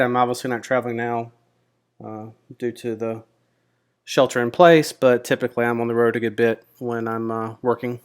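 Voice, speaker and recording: In a very clean recording with a silent background, a man speaks with an American accent. His tone is relaxed, his pitch medium, and his pace fairly quick. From Mississippi, US South. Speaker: options trader and YouTuber. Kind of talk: casual personal introduction to camera. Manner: relaxed, with frequent fillers (um, uh).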